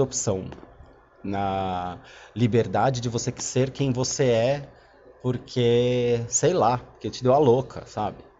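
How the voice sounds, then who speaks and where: A man speaks at a fairly slow pace with a medium pitch. His pitch varies in an ordinary way. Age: 30s. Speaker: podcaster. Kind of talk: casual monologue. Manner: halting.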